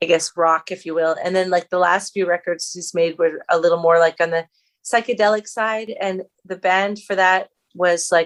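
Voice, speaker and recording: Her voice fairly low and her intonation flat and monotone, a woman speaks at a moderate pace in a dry, close sound with no echo. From New Brunswick, Canada (Acadian region). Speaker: singer-songwriter. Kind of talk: interview. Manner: halting, many fillers.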